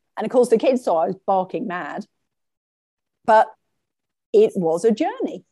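With an English accent, a woman speaks in a dark, mellow tone at a fairly high pitch, her voice making very wide pitch swings between long, frequent pauses, in a dry, close sound with no echo. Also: moderate pace. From England. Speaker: shamanic practitioner and life coach. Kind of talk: interview.

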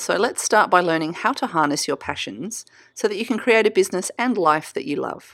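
Over a silent background in a very clean recording, a woman with an Australian accent talks at a fairly quick pace with lively intonation. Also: medium pitch for a woman. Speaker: podcast host and creative business coach. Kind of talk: solo podcast teaching monologue.

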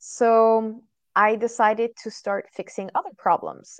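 A woman with a French accent speaks at a fairly high pitch. The sound is dry and close with no echo, and the background is quiet. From France. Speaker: SEO trainer. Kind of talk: interview. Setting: video call.

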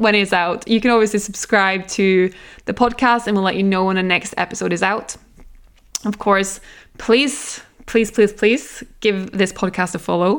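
In a very clean recording with a silent background, a woman speaks with a Norwegian accent. Her medium pitch stays fairly even in intonation at a moderate pace. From Norway. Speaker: nutritionist, podcast host. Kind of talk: solo podcast monologue. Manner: casual, chatty.

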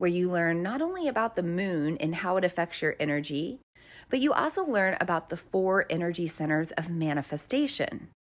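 A normal speaking voice comes from a woman at a medium pitch and a moderate pace, with lively intonation. The recording is very clean, with a silent background. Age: 30s. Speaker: spiritual podcast host. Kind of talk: solo monologue.

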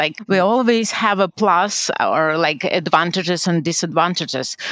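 The sound is dry and close with no echo as a woman talks at a moderate pace. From Ukraine. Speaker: HR manager. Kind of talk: interview.

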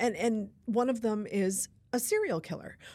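Speaking at a fairly slow pace, a woman is heard on a very clean recording with a silent background. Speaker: novelist. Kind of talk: interview. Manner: animated, gestures with hands.

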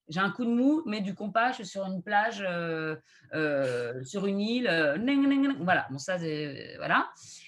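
Using a medium pitch, a woman speaks very slowly with very wide swings in pitch. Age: 30s. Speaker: astrologer and video creator. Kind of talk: casual interview.

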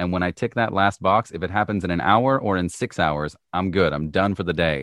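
This man's voice sits very deep and low. Its pitch varies in an ordinary way. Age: 30s. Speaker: voice artist and musician. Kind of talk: casual interview chat.

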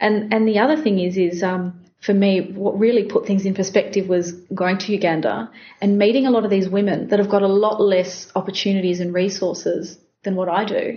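A woman with an Australian accent talks at a fairly quick pace in a somewhat breathy voice. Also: medium pitch for a woman. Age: 30s. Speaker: business founder. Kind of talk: interview. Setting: company office.

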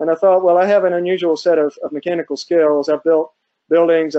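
A man with an American accent at a fast pace, dark and mellow in tone, with little pitch movement.

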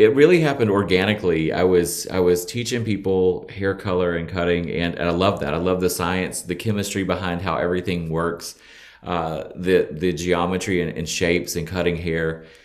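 A man with an American accent and a very deep, low pitch talks with hardly any pauses. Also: moderate pace. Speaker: hairstylist and salon owner. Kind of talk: casual interview chat. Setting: video call. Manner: animated, positive.

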